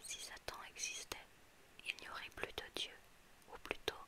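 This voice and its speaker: A woman whispers at a very slow pace. There is noticeable background noise. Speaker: ASMR reader. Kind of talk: whispered ASMR book reading. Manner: whispered; soft-spoken.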